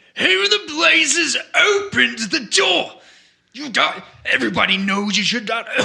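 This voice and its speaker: A man speaks at a high pitch. He puts on a character voice. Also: moderate pace. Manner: irritated, scolding.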